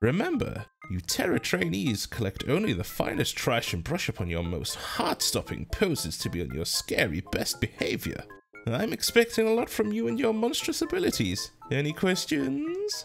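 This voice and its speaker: Someone uses a put-on character voice at a moderate pace. Faint music plays in the background. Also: man. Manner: stern, demanding, commanding.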